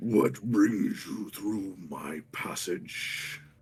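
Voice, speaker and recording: A man growls in a put-on character voice pitched fairly low. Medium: actual play. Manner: menacing.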